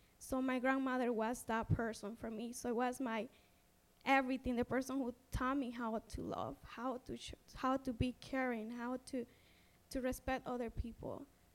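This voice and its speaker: This woman has a high-pitched voice and a moderate pace. Her intonation stays flat and monotone. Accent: Honduran. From Honduras. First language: Spanish. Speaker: social advocate and immigrant storyteller. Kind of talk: panel talk sharing personal story. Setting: stage with audience.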